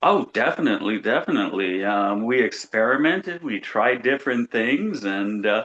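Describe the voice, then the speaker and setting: A man's ordinary speaking voice, with lively intonation and hardly any pauses. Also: medium pitch for a man, moderate pace. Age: 60s. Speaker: FASD advocate. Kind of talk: casual chat.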